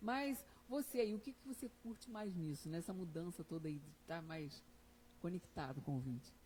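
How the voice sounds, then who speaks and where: A woman speaks at a moderate pace in a dark, mellow, somewhat breathy tone, her fairly low pitch rising and falling in very wide swings. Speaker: podcast host. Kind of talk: casual podcast interview.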